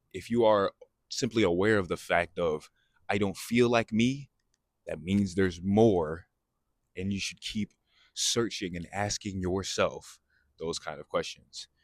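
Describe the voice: A man speaks at a low pitch with ordinary pitch variation. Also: fairly slow pace.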